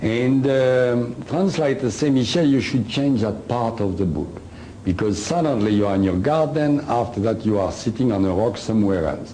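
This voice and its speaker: A man with a French accent speaks at a moderate pace in a medium pitch, his intonation lively and his loudness very even, with audible room echo and noticeable background noise. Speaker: alien contactee and author. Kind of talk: lecture. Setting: stage with audience. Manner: hesitant, many uhs.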